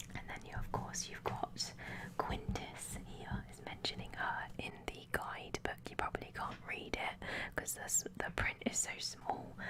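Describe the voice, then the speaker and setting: At a fairly slow pace, a whisper comes through noticeable background noise. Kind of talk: ASMR guidebook flip-through talk. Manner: whispered.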